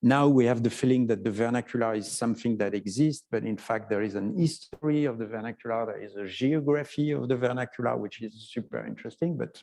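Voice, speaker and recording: A man speaks at a fairly quick pace in a French accent. His pitch is medium, with ordinary variation. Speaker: photography historian. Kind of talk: interview conversation. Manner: halting, many fillers.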